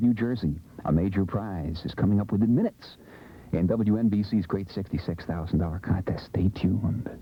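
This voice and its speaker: The voice is somewhat breathy, with a dark, mellow tone and a fairly quick pace. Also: man, fairly low pitch for a man, ordinary pitch variation. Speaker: radio disc jockey. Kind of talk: radio DJ patter. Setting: radio studio. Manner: playful, joking.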